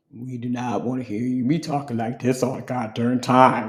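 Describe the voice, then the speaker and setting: This is a put-on character voice, raspy and delivered at a moderate pace. The intonation stays monotone and flat. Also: man, medium pitch for a man. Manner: mocking, exaggerated harshness.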